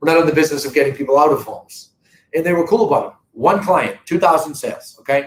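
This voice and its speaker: A man with a Boston accent and a high pitch talks at a very fast pace with ordinary pitch variation. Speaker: real estate company owner. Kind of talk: live stream talk to viewers. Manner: conversational, animated.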